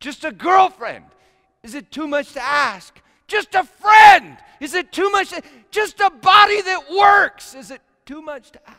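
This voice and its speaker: Projecting a raised voice at an extremely high pitch, a man speaks at a fairly slow pace with lively intonation and big swings in loudness. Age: 50s. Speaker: pastor. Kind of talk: sermon.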